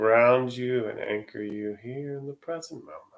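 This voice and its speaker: Fairly slow speech in an unremarkable speaking voice. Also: man. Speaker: yoga nidra guide. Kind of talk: guided yoga nidra meditation. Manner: slow, calm, soothing.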